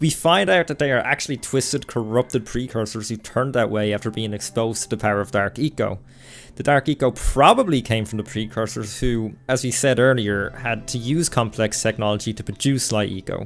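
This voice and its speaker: A man's medium-pitched voice with an Irish accent, at a fairly quick pace. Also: ordinary pitch variation. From Ireland. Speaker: gaming YouTuber. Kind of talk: scripted narration.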